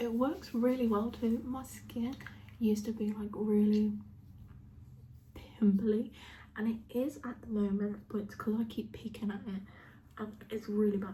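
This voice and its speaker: A woman with a British accent speaks quietly and fairly slowly in a fairly high, somewhat breathy voice with a dark, mellow tone and flat, monotone intonation. She leaves long, frequent pauses, and the room echo is audible. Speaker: beauty vlogger. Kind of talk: makeup tutorial. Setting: at home, sitting on a chair with dog on lap. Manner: speaking quietly; casual, chatty.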